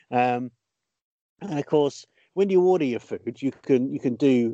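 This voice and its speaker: A man with a British accent and a dark, mellow tone speaks at a moderate pace, medium in pitch with lively intonation. The sound is dry and close with no echo, over a quiet background. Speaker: podcast host and comedian. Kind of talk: casual comedy chat.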